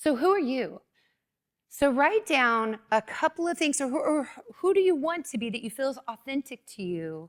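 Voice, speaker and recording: In a dry, close sound with no echo, a woman speaks at a moderate pace with an energetic tone, a high pitch, and very wide pitch swings. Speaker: business presenter. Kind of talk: workshop presentation.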